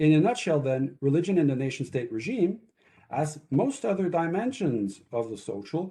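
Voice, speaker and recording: A man with a fairly high pitch sounds somewhat breathy, his pitch swinging very widely. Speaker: author presenting his book. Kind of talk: academic talk. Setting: webinar video call. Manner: fast.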